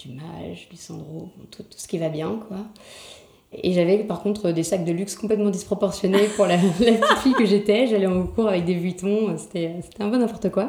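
A woman talks at a fairly slow pace with ordinary pitch variation. There is audible room echo. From Paris, France. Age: 20s. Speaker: Instagram creator. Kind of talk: casual interview. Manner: halting.

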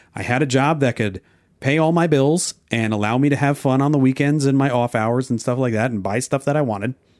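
A man with an American accent talks in a normal speaking voice at a medium pitch, at a fairly quick pace with ordinary pitch variation and very even loudness. The sound is dry and close with no echo, a very clean recording over a silent background. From New Jersey and Oklahoma. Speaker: podcast co-host and editor. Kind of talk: casual chat.

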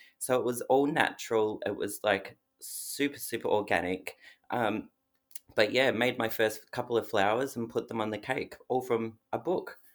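A man talks at a medium pitch in an Australian accent. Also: ordinary pitch variation, moderate pace. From Australia (Melbourne). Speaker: cake business owner. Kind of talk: casual interview.

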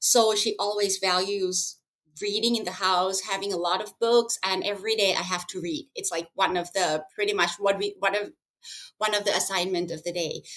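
With a Thai accent, a woman speaks at a medium pitch with fairly even intonation. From Thailand. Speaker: school owner and plant-based advocate. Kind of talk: interview. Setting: remote call. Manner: halting, with fillers.

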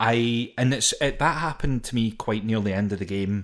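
On a very clean recording with a silent background, a man with a Scottish accent talks at a moderate pace and medium pitch, his intonation fairly even. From Scotland. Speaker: podcast co-host. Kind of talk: casual chat about a video game. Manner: joking, laughs often.

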